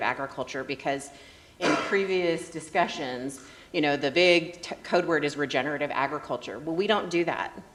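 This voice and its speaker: A woman talks at a medium tempo, her intonation fairly even, with noticeable noise in the background. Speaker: native agriculture nonprofit co-founder. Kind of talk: conference talk. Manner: loud. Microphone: speaking without a microphone.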